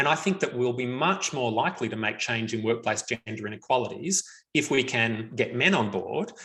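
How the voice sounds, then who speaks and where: A man with an Australian accent, medium in pitch, bright and sharp in tone, with lively intonation and a fairly quick pace. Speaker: researcher on men and violence prevention. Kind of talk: webinar Q&A answers.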